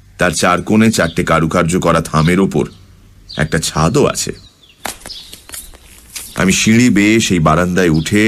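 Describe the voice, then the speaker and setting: Noticeable background noise runs through the clip. Over it, a man talks in a very deep, low pitch. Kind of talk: radio story narration, first-person.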